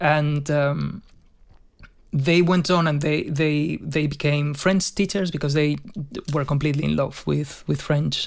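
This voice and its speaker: In a Spanish accent, a man speaks fairly slowly at a fairly high pitch. His intonation is monotone and flat, with very even loudness. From Spain, Madrid. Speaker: session guitarist. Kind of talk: casual chat.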